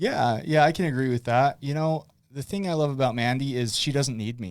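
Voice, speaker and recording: A man with an American accent, medium pitch, a fairly quick pace and ordinary pitch variation. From Utah, West Point. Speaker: guest, addiction recovery helper. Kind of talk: casual chat. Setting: studio. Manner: loud; animated.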